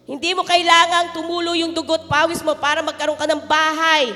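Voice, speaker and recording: A woman's extremely high, raised, projected voice in a monotone, flat delivery, with music in the background. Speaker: pastor. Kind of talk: sermon.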